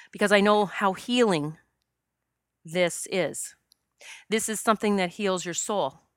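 A woman speaks at a fairly slow pace in a medium pitch with ordinary pitch variation. Her long, frequent pauses stand out on a very clean recording with a silent background. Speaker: spiritual medium and past life regression practitioner. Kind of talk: solo podcast monologue. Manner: emotional, pausing.

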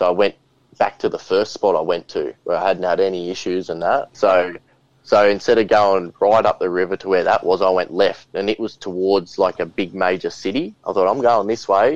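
Moderate pace from a man with an Australian accent. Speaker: podcast host and bigfoot witness. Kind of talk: casual interview chat. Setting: video call.

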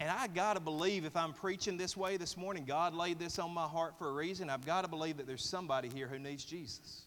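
With a Southern US accent and a high pitch, a man talks at a very fast pace with ordinary pitch variation and hardly any pauses. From US South. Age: 30s. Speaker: pastor. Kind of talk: sermon. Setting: church.

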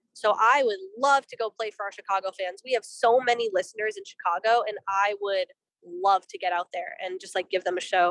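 A woman with an American accent and an unremarkable speaking voice, medium-pitched, at a fairly quick pace, with ordinary pitch variation, big swings in loudness and a dry, close sound with no echo. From Boston, US. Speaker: punk band musician. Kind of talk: casual interview.

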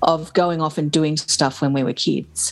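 The speaker is a woman with an Australian accent. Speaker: podcast host. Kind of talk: casual chat.

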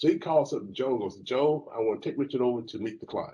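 Here a man talks in a Southern US accent. His pace is fairly quick and his intonation lively. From US South, Alabama. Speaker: lawyer. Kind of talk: panel discussion.

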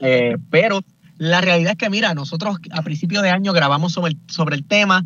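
At a fairly quick pace, a man with a high pitch speaks with ordinary pitch variation. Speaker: podcaster, political commentator. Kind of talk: radio panel discussion. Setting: in a car.

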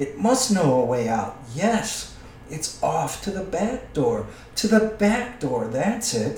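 A man puts on a hissing character voice, high in pitch with very wide pitch swings. He goes at a fairly slow pace, with a slight echo. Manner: wheedling, muttering to himself, twisted grammar, "precious".

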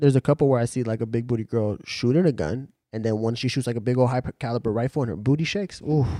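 A man with a dark, mellow tone talks at a very fast pace, at medium pitch with ordinary pitch variation. The recording is very clean with a silent background, and the sound is dry and close with no echo. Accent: American. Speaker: friend of the host. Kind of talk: casual chat.

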